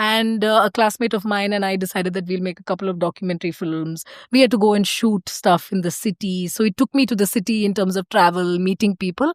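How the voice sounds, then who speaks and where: A woman with a South Indian accent at a medium pitch, very fast with hardly any pauses, her intonation fairly even, in a very clean, silent, dry and close recording with no echo. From India, Karnataka (small mining town near Bangalore). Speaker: organisational change and systems designer. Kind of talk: podcast interview, casual conversation. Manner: hesitant, frequent fillers and restarts.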